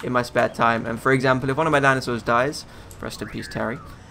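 A man's monotone, flat delivery against noticeable background noise. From UK. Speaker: gaming YouTuber. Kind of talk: let's play commentary. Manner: casual, filler-heavy.

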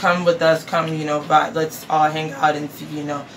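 A woman's low-pitched voice with an American accent, little pitch movement and a moderate pace over faint background noise.

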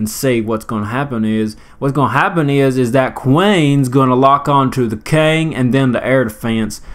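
With a Southern US accent, a man speaks at medium pitch and a moderate pace, using ordinary pitch variation. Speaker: gaming commentator. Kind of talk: casual gameplay commentary. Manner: playful, rambling.

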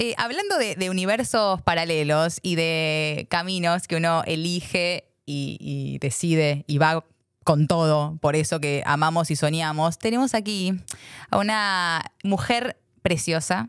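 In a Rioplatense accent, a woman speaks very slowly at a fairly low pitch with ordinary pitch variation, the sound dry with no echo and the background quiet. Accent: Argentine Rioplatense Spanish. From Argentina. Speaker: podcast host. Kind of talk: casual interview chat. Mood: warm, smiling. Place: studio. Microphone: studio mic.

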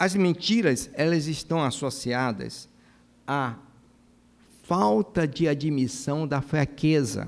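A man at a fairly high pitch, speaking at a very slow pace with long, frequent pauses. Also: ordinary pitch variation. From Brazil, Maranhão (São Luís); Maranhão, Brazil. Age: 60s. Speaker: cardiologist and church speaker; speaker. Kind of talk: lecture. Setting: church with audience. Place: church. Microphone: podium.

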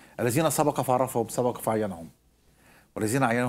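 The talking is fairly quick. Pitch rises and falls in an ordinary way. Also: man. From Egypt. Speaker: preacher and Bible teacher; preacher, Bible teacher. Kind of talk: Bible teaching. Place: studio. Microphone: lapel.

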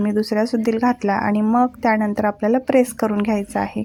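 A woman speaks in a fairly high pitch with a dark, mellow tone and a monotone, flat delivery. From Maharashtra, Latur area. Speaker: vlogger. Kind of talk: vlog voiceover.

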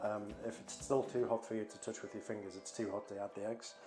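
Clear music plays in the background as a man talks at a very fast pace with fairly even intonation. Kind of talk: tutorial. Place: kitchen.

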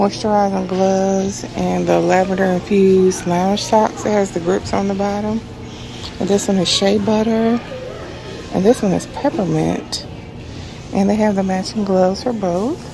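Against noticeable background noise, a woman speaks in a monotone, flat way, the sound dry with no echo. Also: moderate pace. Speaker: shopping vlogger. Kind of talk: casual vlog chat. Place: shop. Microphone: phone near.

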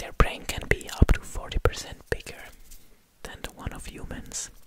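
Over loud background noise, a soft-spoken man whispers. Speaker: ASMR creator. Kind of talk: soft-spoken ASMR fact talk. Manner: soft close-mic ASMR whisper. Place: studio. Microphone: studio mic.

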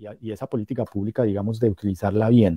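The voice has a dark, mellow tone, recorded with a quiet background and a dry sound with no echo. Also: man. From Colombia, Cúcuta and Pamplona (Norte de Santander); Norte de Santander, Colombia. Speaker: professor and metal journalist; professor, metal journalist. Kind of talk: lecture-style talk in a streamed panel. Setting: video call. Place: home room. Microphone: video call.

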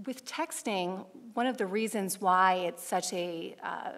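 A woman is speaking. She goes at a fairly slow pace. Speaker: council presenter. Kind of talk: presentation. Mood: earnest, informative. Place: hall. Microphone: podium.

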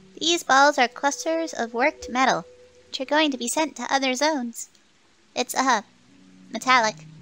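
A female-sounding, put-on character voice speaks high and timid at a moderate pace. Long pauses come often. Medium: game stream. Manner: timid, deferential.

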